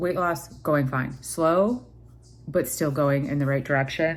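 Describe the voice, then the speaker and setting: A woman at a moderate pace, fairly even intonation, audible room echo. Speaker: vlogger. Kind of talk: casual vlog. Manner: hesitant, many fillers.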